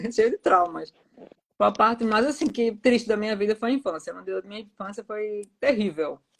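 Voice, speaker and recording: In a strong Pernambuco accent, a woman talks with a fairly high pitch. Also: ordinary pitch variation, moderate pace, big swings in loudness. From Pernambuco, Brazil. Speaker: author. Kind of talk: casual interview. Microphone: too quiet.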